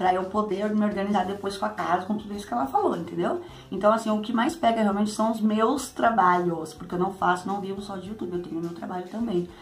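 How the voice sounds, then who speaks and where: Over light background noise, a woman speaks very fast at medium pitch. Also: ordinary pitch variation. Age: 30s. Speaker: YouTuber. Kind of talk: casual Q&A vlog. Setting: at home. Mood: cheerful, sometimes laughing. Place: home room. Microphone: phone near.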